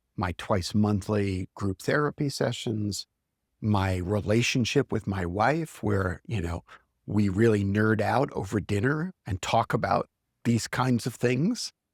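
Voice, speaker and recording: A man with an ordinary speaking voice and a fairly low pitch talks at a fairly slow pace with ordinary pitch variation, in a very clean recording with a silent background and a dry, close sound with no echo. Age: 60s. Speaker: CEO coach. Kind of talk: reflective interview conversation.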